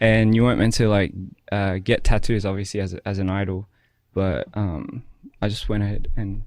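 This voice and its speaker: Soft-spoken, a man talks at a moderate pace with a fairly low pitch and fairly even intonation against a quiet background. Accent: Australian. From Australia, Wollongong. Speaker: musician, former K-pop idol. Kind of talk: interview. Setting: studio. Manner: halting, many fillers.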